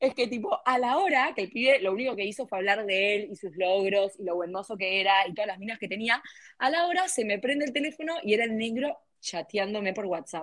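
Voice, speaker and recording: A woman with an Argentine accent speaks fairly quickly at a fairly high pitch. Her voice makes very wide pitch swings. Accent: Rioplatense Argentine Spanish. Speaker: podcast co-host. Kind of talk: casual chat.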